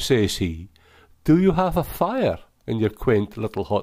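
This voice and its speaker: In a Shetland accent, a man speaks at a fairly slow pace with very wide pitch swings on a very clean recording with a silent background. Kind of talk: poetry reading.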